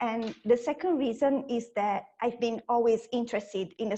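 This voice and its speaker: Her voice sits at a fairly high pitch, and this woman speaks with ordinary pitch variation. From Italy. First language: Italian. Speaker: science communicator. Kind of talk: conference talk.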